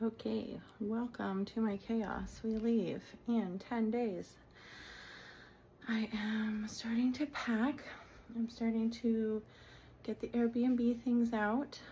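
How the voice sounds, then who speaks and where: A woman speaks very slowly at a fairly high pitch, her dark, mellow tone somewhat breathy and her intonation flat and monotone. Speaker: vlogger. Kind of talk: casual home tour vlog. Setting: at home. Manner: casual with many fillers; whispering.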